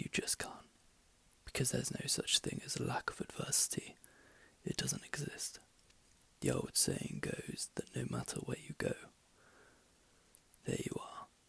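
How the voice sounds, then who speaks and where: The voice is a whisper at a medium speed. Pauses are long and frequent. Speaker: ASMR reader / channel host. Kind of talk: audiobook-style reading aloud. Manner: whispered, soft.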